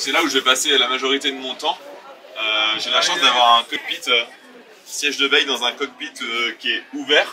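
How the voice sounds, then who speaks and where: A man with a fairly high pitch and ordinary pitch variation, crowd noise in the background. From western France (Cholet, Maine-et-Loire). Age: 20s. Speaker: sailor. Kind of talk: interview. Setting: on a boat. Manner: hesitant fillers.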